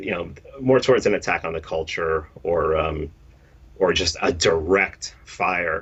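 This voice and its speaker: The speaker is a man with a New York accent. Ordinary pitch variation runs through his speech. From New York City, the Bronx. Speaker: podcast host and meme creator. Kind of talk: interview conversation. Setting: live-streamed interview. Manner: blunt, direct.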